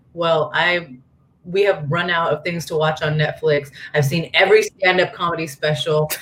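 Over noticeable background noise, a woman with an American accent speaks at a moderate pace with a fairly low pitch and fairly even intonation. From Northern California, small town. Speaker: MMA fighter. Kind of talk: casual chat.

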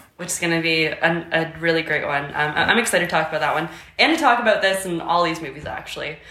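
Someone with a Canadian accent talks at a very fast pace with ordinary pitch variation. Noticeable background noise and audible room echo fill the recording. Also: woman, fairly low pitch for a woman. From Canada, near Akwesasne (Ontario/Quebec border). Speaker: podcast co-host. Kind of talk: casual chat.

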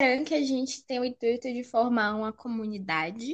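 Against a quiet background, a woman speaks at a moderate pace. Her voice is somewhat breathy, with ordinary pitch variation. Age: 20s. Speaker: podcast co-host, university student. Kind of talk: casual chat.

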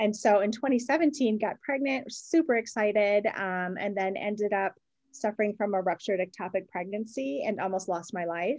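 Against a quiet background, a woman talks at a moderate pace and medium pitch, with lively intonation and hardly any pauses. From Wisconsin. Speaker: fragrance business owner. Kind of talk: interview.

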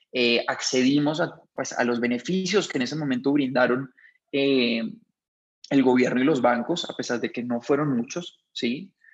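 Here a man has a plain, everyday voice at medium pitch. He talks at a fairly slow pace with ordinary pitch variation. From Colombia, Bogotá. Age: 30s. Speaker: restaurant chain founder. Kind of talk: interview.

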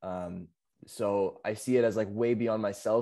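A man speaks in a dark, mellow tone with fairly even intonation. The recording is very clean, with a silent background. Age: 20s. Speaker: window cleaning business operator. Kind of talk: casual interview chat.

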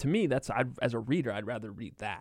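The recording is very clean with a silent background. A man with a medium pitch and vocal fry talks at a fairly quick pace. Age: 30s. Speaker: sports reporter. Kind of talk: casual interview. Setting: studio.

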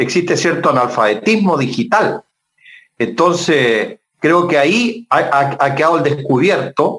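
In a normal speaking voice, a man talks with lively intonation. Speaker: politician. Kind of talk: interview.

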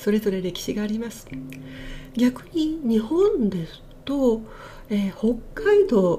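A woman speaks at a fairly slow pace in a fairly high voice. Her pitch swings very widely over noticeable background noise. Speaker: butoh dancer and IT engineer hosting a podcast. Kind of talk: casual solo podcast talk. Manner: polite, formal.

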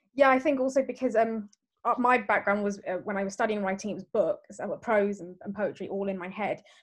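At a fairly quick pace, a woman with an unremarkable speaking voice talks in a fairly high pitch, with ordinary pitch variation and big swings in loudness. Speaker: podcast host. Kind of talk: casual chat.

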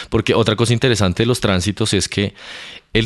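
Against a quiet background, a man with a normal speaking voice and a fairly low pitch talks with fairly even intonation. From Colombia, Bogotá. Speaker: astrophysicist. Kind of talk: casual interview. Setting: in person at university.

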